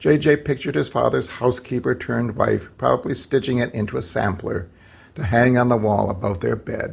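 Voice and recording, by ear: The voice sounds natural. The speaker is reading aloud.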